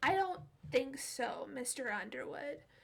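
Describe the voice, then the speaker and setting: Using a put-on character voice, a woman speaks at a fairly slow pace and a high pitch. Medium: read story. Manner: menacing.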